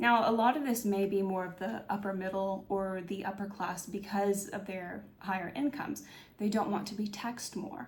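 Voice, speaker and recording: Over noticeable background noise and audible room echo, a woman speaks at a moderate pace in a medium pitch with ordinary pitch variation. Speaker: political commentary YouTuber. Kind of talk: video essay monologue. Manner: hesitant, many fillers.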